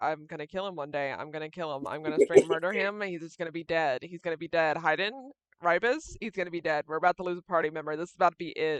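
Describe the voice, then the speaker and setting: A put-on character voice mumbles at a middle pitch. It races along at a very fast pace with hardly any pauses. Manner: mumbling under her breath, muttering.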